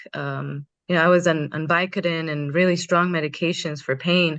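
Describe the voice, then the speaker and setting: Against a quiet background, the speech has a moderate pace and ordinary pitch variation. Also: woman. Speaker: community organizer and teacher. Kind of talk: candid panel conversation. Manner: loud.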